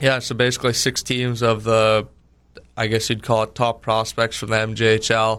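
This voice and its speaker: On a very clean recording with a silent background, a man speaks at a medium pitch in a monotone, flat intonation. His pace is moderate, broken by long, frequent pauses. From Winkler, Manitoba, Canada. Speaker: junior hockey goalie. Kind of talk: radio interview.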